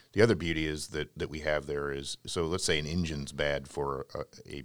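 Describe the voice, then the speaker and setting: Talking at a very fast pace, a man uses a very deep, low pitch with vocal fry. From US, raised in Navy family, partly San Francisco Bay Area. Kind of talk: interview. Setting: studio.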